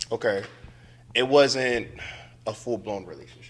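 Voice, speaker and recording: A man speaks with an American accent at a moderate pace. His pitch is fairly low, with ordinary pitch variation. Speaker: returning podcast guest. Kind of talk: casual chat.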